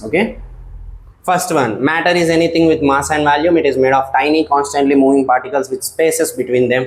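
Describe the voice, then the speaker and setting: With an Indian accent, a man speaks at a fairly high pitch. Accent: Indian English (Telugu). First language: Telugu. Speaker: science teacher. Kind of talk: lecture. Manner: hesitant fillers.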